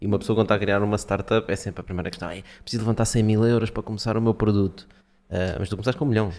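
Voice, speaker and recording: Fairly low-pitched, a man talks at a very fast pace with fairly even intonation. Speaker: podcast host. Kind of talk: podcast intro and interview questions.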